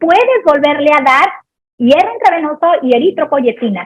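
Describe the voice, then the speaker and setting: A woman's high, animated voice in a Sinaloan accent, with lively intonation. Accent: Sinaloan Mexican Spanish. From Mexico, Sinaloa. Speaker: pediatric anesthesiologist. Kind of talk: lecture Q&A.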